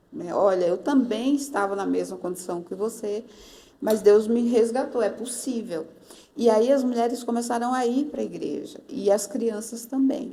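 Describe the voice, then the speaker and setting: A woman talks in an ordinary speaking voice at a fairly high pitch, with ordinary pitch variation. Her pace is moderate. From Northeast Brazil. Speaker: pastor. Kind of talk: interview answer.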